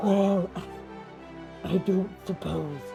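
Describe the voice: A raspy, put-on character voice plays over clear music in the background.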